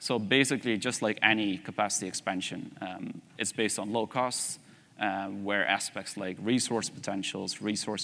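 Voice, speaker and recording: A man with a Dutch accent has a fairly low pitch, fairly even intonation and a bright, sharp tone. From Netherlands. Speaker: energy systems researcher; conference presenter. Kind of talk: conference presentation.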